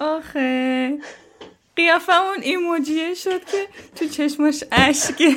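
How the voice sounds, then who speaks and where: Very slowly and with fairly even intonation, a woman speaks at a high pitch. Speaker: podcast host. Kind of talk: interview.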